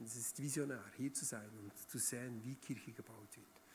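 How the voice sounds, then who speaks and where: A man talks at a fairly quick pace in an animated tone. His voice carries vocal fry. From Switzerland, Bern region. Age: 30s. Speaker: guest preacher. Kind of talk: sermon. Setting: church stage with audience.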